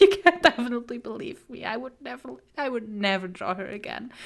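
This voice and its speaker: Bright and sharp in tone, a woman talks at a moderate pace with a fairly high pitch and lively intonation. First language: not English. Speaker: streamer and artist. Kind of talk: casual live stream chat. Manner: halting, frequent repetitions.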